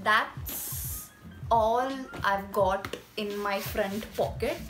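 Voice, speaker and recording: Music plays clearly behind the speaker. She is a woman. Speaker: beauty vlogger. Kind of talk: casual vlog chat. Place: home room. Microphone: phone near.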